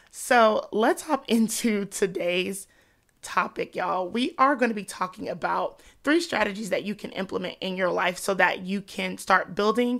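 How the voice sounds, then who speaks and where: Vocal fry runs through lively intonation at a moderate pace on a very clean recording with a silent background. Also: woman. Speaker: faith podcast host. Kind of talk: podcast monologue. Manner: animated.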